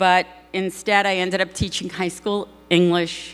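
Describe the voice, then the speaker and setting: A woman with a New York accent speaks at a moderate pace and a medium pitch, with music playing in the background. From New York, Brooklyn. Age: 60s. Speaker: advertising producer. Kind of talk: acceptance speech. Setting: stage with audience.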